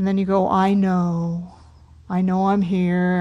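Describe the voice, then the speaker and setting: In a very clean recording with a silent background, a woman speaks at a fairly slow pace. Her medium-pitched voice has a dark, mellow tone that is warm and gentle. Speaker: meditation teacher. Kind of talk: guided meditation and dharma talk. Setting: meditation hall at a retreat center. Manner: slow, gentle, soothing, calm and unhurried; warm, inviting, soft-spoken.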